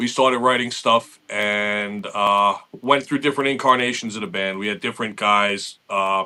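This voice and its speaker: A man with a New York accent, fairly low in pitch and bright, sharp in tone, with fairly even intonation and hardly any pauses. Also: moderate pace. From Long Island, New York. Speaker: metal guitarist. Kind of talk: interview. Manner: casual, with many fillers.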